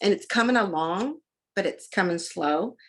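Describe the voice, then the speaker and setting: In a Texan accent, a woman of medium pitch speaks in an animated tone with lively intonation. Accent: Texan Southern. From Texas, Dallas. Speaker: combat sports commentator. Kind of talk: interview.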